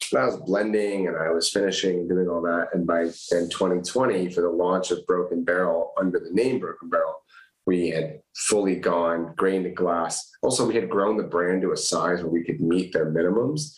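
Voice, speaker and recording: A man with an American accent speaks at a moderate pace. His pitch is very deep and low. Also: ordinary pitch variation. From California. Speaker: whiskey brand founder. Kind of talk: casual chat.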